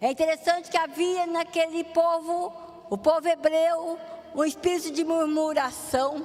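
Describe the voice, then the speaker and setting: Her pitch is extremely high for a woman. She speaks at a fairly slow pace. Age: 60s. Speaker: pastor. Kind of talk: sermon.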